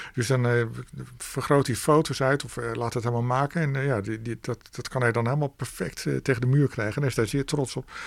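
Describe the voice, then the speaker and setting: This man's delivery is fairly quick. His intonation stays fairly even at a medium pitch. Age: 50s. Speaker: author and record collector. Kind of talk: radio interview. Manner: halting, frequent repetitions.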